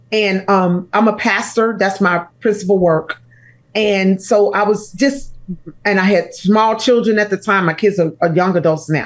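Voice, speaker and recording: With an American accent, a woman in a plain, everyday voice speaks at a fairly slow pace with medium pitch, ordinary pitch variation and very even loudness. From Chicago, US Midwest. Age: 60s. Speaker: pastor and author. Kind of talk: interview conversation.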